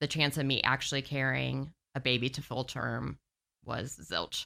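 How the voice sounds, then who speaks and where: A woman's very deep, low pitch with a bright, sharp tone and vocal fry, at a moderate pace, on a very clean recording with a silent background. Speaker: marketing specialist and business owner. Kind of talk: casual interview. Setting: studio.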